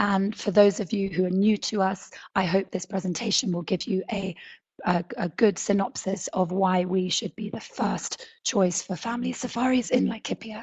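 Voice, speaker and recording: A woman talks at a moderate pace in a somewhat breathy voice of medium pitch. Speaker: safari lodge owner. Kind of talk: webinar presentation. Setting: online webinar.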